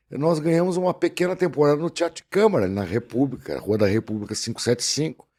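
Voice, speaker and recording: Very fast and with hardly any pauses, a man with a southern Brazilian accent speaks in a dark, mellow tone at a fairly high pitch, his voice making very wide pitch swings on a very clean recording with a silent background. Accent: gaúcho Brazilian Portuguese. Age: 60s. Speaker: actor and voice-over announcer. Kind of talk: casual podcast interview.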